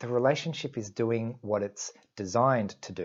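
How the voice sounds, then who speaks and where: A man with an unremarkable speaking voice, medium pitch, and a moderate pace. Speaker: YouTuber discussing Asperger's syndrome. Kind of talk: casual vlog monologue.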